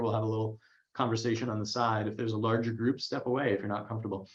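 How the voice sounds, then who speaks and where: At a very fast pace, a man speaks at medium pitch. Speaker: career coach. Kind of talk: webinar Q&A. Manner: animated.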